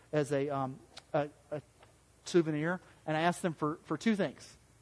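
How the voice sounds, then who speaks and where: A Southern US accent comes through with fairly even intonation against a quiet background. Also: man. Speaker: pastor. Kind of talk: sermon. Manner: halting.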